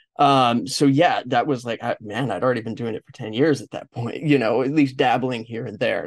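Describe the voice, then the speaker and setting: A man talks at a medium pitch with a Californian accent. His intonation stays fairly even. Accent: Californian American. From Los Angeles, US. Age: 40s. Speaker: podcast host. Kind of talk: interview conversation.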